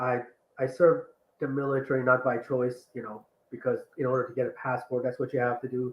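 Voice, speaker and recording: A man with a medium-pitched voice moves along at a fairly quick pace. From born in Iran, raised partly in the US and partly in Iran. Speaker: ADHD life coach. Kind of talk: interview conversation. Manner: animated.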